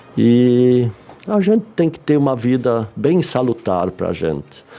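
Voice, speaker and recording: Very slowly, a man speaks at a medium pitch. His intonation is lively. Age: 70s. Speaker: retired bank employee and psychology student. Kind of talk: radio interview.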